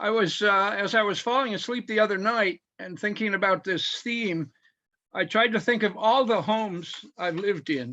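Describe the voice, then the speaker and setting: Against a quiet background, a man with a high pitch projects a raised voice in a bright, sharp tone, moving at a moderate pace with ordinary pitch variation. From US Midwest, Michigan. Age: 70s. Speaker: poet. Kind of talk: poetry reading. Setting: video call.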